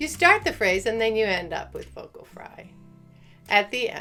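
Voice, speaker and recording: A woman puts on a character voice, fairly high-pitched and creaky, talking at a moderate pace with music playing behind her. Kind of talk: demonstration.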